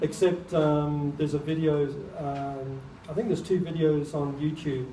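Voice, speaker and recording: A man's fairly high, monotone voice at a fairly slow pace, with audible room echo. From New Zealand (born in England, moved as child). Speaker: artist and speaker on UFOs and crop circles. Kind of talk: public talk with audience Q&A.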